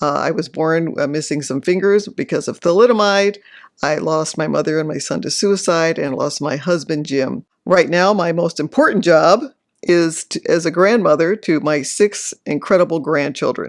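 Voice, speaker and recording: Speaking at a moderate pace with an American accent, a woman has an unremarkable speaking voice, fairly low in pitch with ordinary pitch variation. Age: 60s. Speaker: author and retired dentist, grief counselor. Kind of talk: interview testimony.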